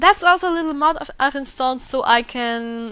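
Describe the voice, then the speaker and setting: The voice has a bright, sharp tone and an Austrian accent, moving at a moderate pace. The recording is very clean, with a silent background. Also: woman. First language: German. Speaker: gaming YouTuber. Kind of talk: let's play commentary. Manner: halting.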